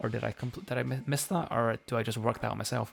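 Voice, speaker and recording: A man's very fast delivery, with vocal fry throughout. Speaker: video game streamer. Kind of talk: live gameplay stream chat. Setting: live stream. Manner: hesitant, many repetitions and fillers.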